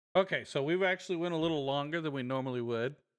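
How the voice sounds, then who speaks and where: Recorded very cleanly against a silent background, a man speaks at a fairly quick pace in a fairly high pitch with lively intonation. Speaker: podcast host. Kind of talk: casual chat. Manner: authoritative, demanding tone; comes off a little crass.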